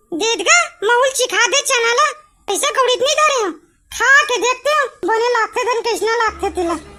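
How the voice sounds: A woman puts on a cartoonish character voice, squeaky and extremely high in pitch, at a moderate pace.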